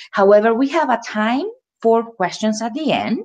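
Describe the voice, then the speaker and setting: At a moderate pace, a woman talks with a Spanish accent and lively intonation. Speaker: ESL teacher. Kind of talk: webinar presentation.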